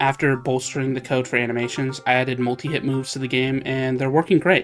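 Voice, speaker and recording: With music in the background, a man speaks very fast at a medium pitch in a monotone, flat intonation. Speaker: hobby game developer. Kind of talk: devlog narration over gameplay.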